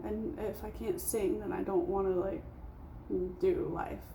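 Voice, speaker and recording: A woman speaks at a fairly slow pace. Noticeable background noise and room echo are audible. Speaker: vlogger. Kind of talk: casual monologue vlog.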